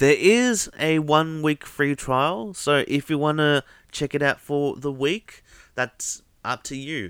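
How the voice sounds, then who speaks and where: With an Australian accent, a man talks very slowly at a fairly high pitch with ordinary pitch variation. The recording is very clean and the background is silent. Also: dry, close sound with no echo. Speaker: podcast host. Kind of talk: casual monologue.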